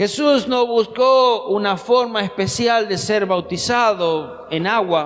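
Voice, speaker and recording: A man with a high pitch and ordinary pitch variation speaks very slowly, with hardly any pauses. Noticeable background noise runs behind him. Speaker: pastor. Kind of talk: sermon.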